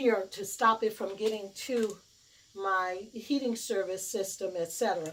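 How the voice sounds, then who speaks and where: A woman is heard talking over noticeable background noise. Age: 60s. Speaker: DIY video maker. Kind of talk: tutorial. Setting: basement. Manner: hesitant, many fillers.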